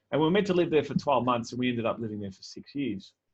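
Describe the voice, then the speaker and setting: A man with an Australian accent speaks at a medium pitch with ordinary pitch variation. The background is quiet. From Melbourne northern suburbs, Australia. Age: 40s. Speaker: keynote speaker. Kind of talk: keynote talk. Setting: virtual event. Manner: conversational.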